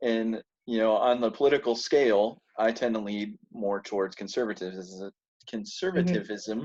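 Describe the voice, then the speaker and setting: With an American accent, this is an ordinary speaking voice moving at a fairly slow pace with ordinary pitch variation. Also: man. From rural United States. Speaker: military veteran and forum participant. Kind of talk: casual chat.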